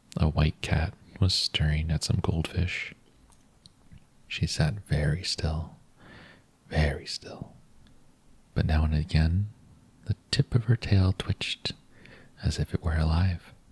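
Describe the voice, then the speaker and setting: A man talks in a very deep, low voice with a gentle, somewhat breathy tone and ordinary pitch variation. His fairly slow delivery has a dry, close sound with no echo. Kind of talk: bedtime story reading. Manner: soft-spoken, gentle.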